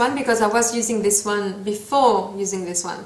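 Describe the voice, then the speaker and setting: In a French accent, a woman speaks at a moderate pace with audible room echo. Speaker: beauty vlogger. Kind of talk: tutorial. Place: home room. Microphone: phone near.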